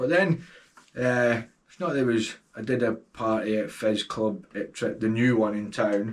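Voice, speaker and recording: With a Scottish accent, a man talks fairly slowly at a medium pitch. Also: ordinary pitch variation. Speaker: DJ and record label owner. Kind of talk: podcast interview answer.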